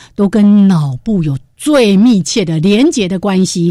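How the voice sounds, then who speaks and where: Her tone dark and mellow, a woman speaks at a medium pitch and a fairly slow pace with lively intonation. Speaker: radio host. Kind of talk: casual chat.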